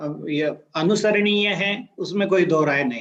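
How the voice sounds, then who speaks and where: This man speaks with a Marathi accent and a high-pitched voice. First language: Marathi (speaking Hindi). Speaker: career guidance speaker. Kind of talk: talk to students. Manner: halting with fillers.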